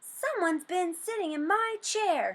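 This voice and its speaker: A woman puts on a character voice at an extremely high pitch, squeaky yet gruff and growling, with lively intonation at a moderate pace. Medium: read story. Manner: gruff, growling.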